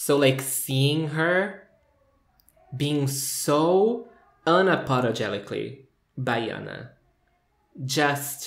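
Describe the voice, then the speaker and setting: Speaking at a very slow pace with a Portuguese accent, a man uses lively intonation and a fairly high pitch, with audible room echo around him. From Brazil, São Paulo. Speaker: video reviewer. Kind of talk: casual commentary review. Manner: animated.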